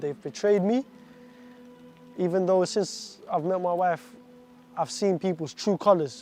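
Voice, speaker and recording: Music in the background behind speech with ordinary pitch variation. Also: man. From Iraq, raised from age 7 in an English-speaking country. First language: Arabic. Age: 20s. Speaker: stabbing survivor telling his story. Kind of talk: personal testimony. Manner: halting, with restarts and repetitions.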